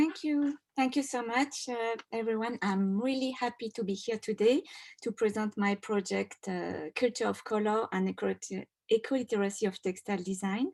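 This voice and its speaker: On a very clean recording with a silent background and a dry, close sound with no echo, a woman speaks at a moderate pace with a French accent, in a fairly high voice with ordinary pitch variation. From France. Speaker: doctoral student and textile designer. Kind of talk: award presentation talk.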